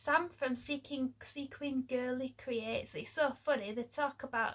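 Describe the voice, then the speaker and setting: A woman speaks very slowly in a high voice with fairly even intonation. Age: 40s. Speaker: sewing vlogger. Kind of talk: casual vlog chat. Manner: chatty, hesitant with many fillers.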